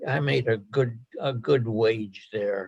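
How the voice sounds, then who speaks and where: His pitch shifts in an ordinary way. The man's voice sounds somewhat breathy. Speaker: retired engineer and scrap yard worker. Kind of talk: oral history interview. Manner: halting, many repeated words.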